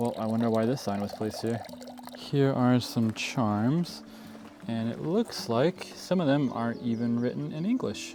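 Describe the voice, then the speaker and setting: Music plays in the background as a man speaks at a medium pitch. He keeps a moderate pace with lively intonation. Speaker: travel vlogger. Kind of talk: travel vlog narration. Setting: outdoors. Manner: casual with frequent fillers.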